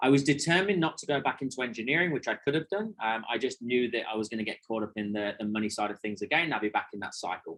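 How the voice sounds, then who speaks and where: A man talks at a very fast pace with hardly any pauses. His pitch is medium and his intonation lively. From England, Leicester. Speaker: sales trainer. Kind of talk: webinar presentation. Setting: online webinar. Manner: animated.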